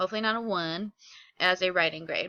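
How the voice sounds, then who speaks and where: A woman talks at a fairly quick pace in a medium-pitched voice with ordinary pitch variation. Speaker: middle school teacher. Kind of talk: recorded classroom instruction video. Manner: fast; casual, upbeat.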